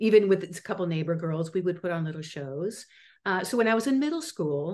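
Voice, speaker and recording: Over a quiet background, a woman speaks at a fairly quick pace. Her pitch varies in an ordinary way. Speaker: guest actress, acting teacher. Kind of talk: interview answer. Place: home room. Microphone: video call.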